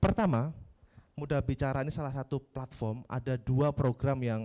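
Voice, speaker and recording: Dry and close with no echo, a man with a medium pitch and a dark, mellow tone speaks at a moderate pace with ordinary pitch variation. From Yogyakarta, Java, Indonesia. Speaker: civic organization coordinator. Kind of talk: workshop presentation. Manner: casual, interactive.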